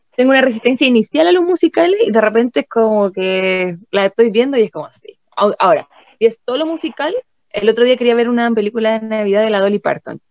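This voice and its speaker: A woman talks at a very fast pace with lively intonation and big swings in loudness. Her pitch is fairly high, and the sound is dry and close with no echo. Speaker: podcast co-host. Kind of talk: casual chat.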